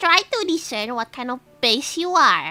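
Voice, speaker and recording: Pitching her voice high, a woman performs a put-on character voice. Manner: imitation, self-conscious.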